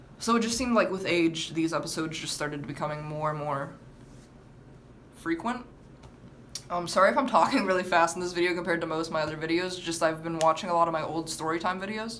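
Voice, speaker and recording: Talking very fast, a woman has a fairly low pitch and ordinary pitch variation. Noticeable background noise and audible room echo fill the recording. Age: 18. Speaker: vlogger. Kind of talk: story time vlog. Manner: halting, with stammered restarts.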